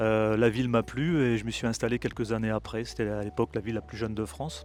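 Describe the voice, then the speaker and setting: Over background music, a man races along at a very fast pace, his medium pitch showing ordinary variation. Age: 60s. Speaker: local election candidate. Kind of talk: interview. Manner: halting, many hesitations.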